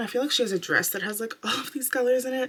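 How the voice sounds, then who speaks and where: Quiet and very fast, a woman speaks at a fairly high pitch over noticeable background noise. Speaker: beauty vlogger. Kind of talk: makeup tutorial. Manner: casual, filler-heavy.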